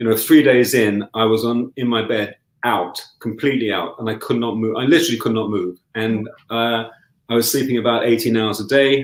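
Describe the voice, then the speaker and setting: Speaking in an unremarkable speaking voice, a man keeps a medium pitch and fairly even intonation at a fairly quick pace. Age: 60s. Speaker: lifestyle medicine coach and yoga teacher. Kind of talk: interview chat.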